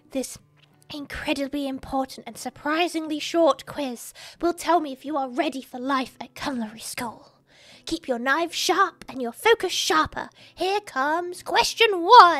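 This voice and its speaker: A woman's put-on character voice, high-pitched and stern in tone, at a moderate pace. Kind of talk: comic game dialogue reading. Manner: stern, bossy.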